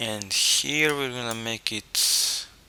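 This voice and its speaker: A man with a non-native accent speaks at a medium pitch with ordinary pitch variation over noticeable background noise. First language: not English. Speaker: 3D rendering tutorial maker. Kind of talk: software tutorial. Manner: halting, with fillers and repetitions.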